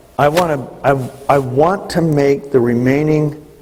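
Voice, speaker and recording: Heard through noticeable background noise and audible room echo, a man speaks at medium pitch with ordinary pitch variation. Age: 60s. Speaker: business leader giving leadership training. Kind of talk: motivational talk. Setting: stage with audience.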